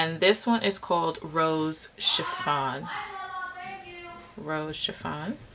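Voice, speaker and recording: Noticeable background noise accompanies a woman whose pitch is very deep and low. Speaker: beauty vlogger. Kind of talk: casual makeup review tutorial. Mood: relaxed, amused by interruptions. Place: home room. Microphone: phone near.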